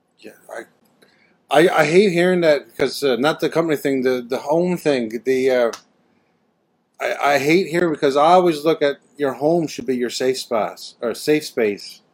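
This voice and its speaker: A man's moderately paced, fairly high-pitched voice with ordinary pitch variation, an ordinary speaking voice. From Canada. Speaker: podcast host. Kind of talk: casual chat. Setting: video call.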